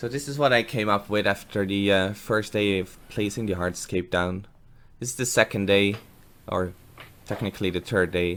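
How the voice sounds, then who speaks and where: With a Dutch accent, a man speaks at a fairly low pitch and a moderate pace, his intonation fairly even. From Netherlands. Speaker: aquarium hobbyist, gardener. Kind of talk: voiceover narration of build. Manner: casual, hesitant with fillers.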